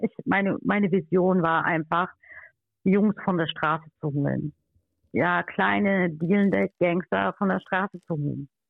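Ordinary pitch variation marks a woman's speech, which comes at a fairly slow pace. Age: 30s. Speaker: life coach. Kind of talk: interview.

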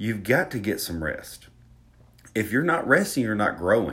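This man talks at a fairly slow pace. His accent is a Southern US one. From Alabama. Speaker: fitness podcaster. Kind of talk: solo podcast monologue. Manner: casual, self-deprecating, chatty.

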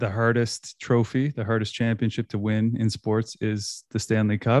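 In a very clean recording with a silent background and a dry, close sound with no echo, a man with a Canadian Maritime accent speaks at a medium pitch and moderate pace in a dark, mellow tone. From Nova Scotia, Canada. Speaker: sports podcaster. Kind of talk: casual sports chat.

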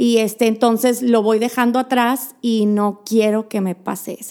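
A woman speaks at a moderate pace in a fairly high pitch, her dark, mellow tone held in a flat monotone. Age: middle-aged. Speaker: podcast co-host. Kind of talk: casual chat.

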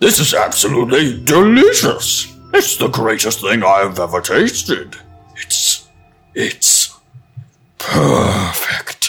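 A man's booming put-on character voice at a very slow pace, faint music behind it. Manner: menacing, arrogant.

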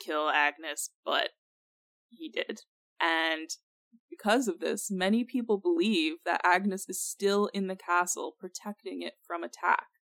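Fairly slow and lively in intonation, a woman talks in a normal speaking voice at medium pitch. The very clean recording has a silent background and a dry, close sound with no echo. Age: 20s. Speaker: podcast co-host. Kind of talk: casual chat presenting research. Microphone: new mic.

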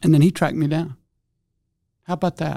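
A man's dark, mellow tone comes out somewhat breathy. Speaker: author. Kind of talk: interview conversation.

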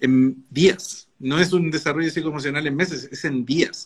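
At a fairly slow pace comes an ordinary speaking voice. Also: man. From Chile. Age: 30s. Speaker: novelist. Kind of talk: casual chat.

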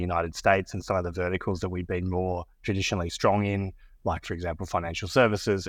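Against a quiet background, a man with an Australian accent speaks in a very deep, low pitch with monotone, flat intonation. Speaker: business executive. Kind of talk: casual interview chat. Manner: hesitant, filler-heavy.

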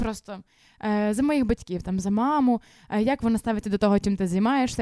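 At a fairly quick pace, the speaker has a dark, mellow tone and fairly even intonation, in a dry, close sound with no echo on a very clean recording with a silent background. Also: woman. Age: 20s. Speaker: youth ministry leader and runner. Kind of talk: casual interview.

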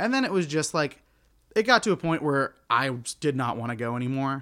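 On a very clean recording with a silent background, a man with an American accent speaks at a moderate pace in a fairly high, bright, sharp tone with ordinary pitch variation. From Oklahoma. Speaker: actor and improviser. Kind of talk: casual chat.

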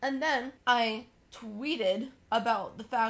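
A woman with an American accent, a fairly high pitch and vocal fry. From US South. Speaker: podcast co-host. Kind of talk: casual chat.

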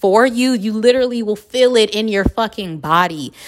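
A woman with an American accent speaks at a moderate pace and a fairly high pitch. Her tone is animated and her intonation lively. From Los Angeles, US. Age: 30s. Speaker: podcast host. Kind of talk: casual monologue.

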